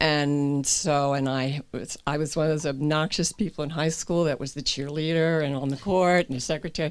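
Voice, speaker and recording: This woman has a very deep, low pitch and fairly even intonation, speaking at a moderate pace with hardly any pauses. The recording is very clean, with a silent background. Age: 70s. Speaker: group therapy participant. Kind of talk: personal testimony in group. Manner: halting with fillers.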